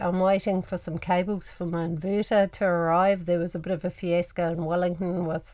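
A woman talks at a moderate pace, and the background is quiet. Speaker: travel vlogger. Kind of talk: casual vlog chat. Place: home room.

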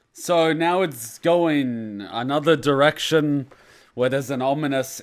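A man speaking at a fairly slow pace with ordinary pitch variation against a quiet background. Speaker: reaction video host. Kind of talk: casual reaction commentary. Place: home room. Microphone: studio mic.

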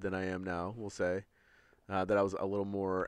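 A fairly low-pitched man against a quiet background. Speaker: podcast co-host. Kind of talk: casual chat. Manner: loud.

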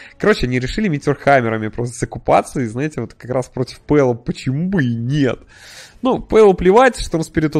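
Against a quiet background, a man with a medium pitch talks at a fairly quick pace with lively intonation. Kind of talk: esports match commentary. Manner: fast, animated play-by-play, reacting excitedly to fights; casual, conversational, with sarcastic asides.

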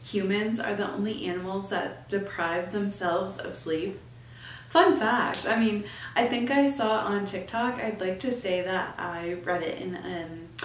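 A woman talks at a fairly slow pace with ordinary pitch variation. Audible room echo and light background noise are present. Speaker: podcast host. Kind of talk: casual podcast monologue. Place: home room.

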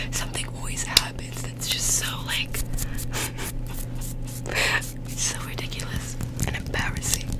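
A soft-spoken woman at a moderate pace, dry sound with no echo, music in the background. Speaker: ASMR content creator. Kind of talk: casual storytelling chat, soft ASMR style. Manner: soft close-mic ASMR speaking voice. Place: home room. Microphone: studio mic.

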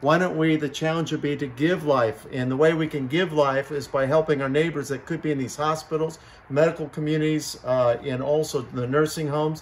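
A man at a fairly quick pace, monotone and flat, with hardly any pauses and light background noise. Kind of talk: appeal to viewers. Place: garage. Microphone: phone near.

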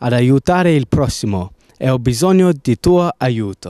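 A man with a fairly high pitch and a dark, mellow tone speaks at a fairly slow pace with an English accent, recorded dry and close with no echo. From England. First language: English (speaking Italian). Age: 18. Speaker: gap-year volunteer fundraiser. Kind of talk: fundraising appeal. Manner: formal.

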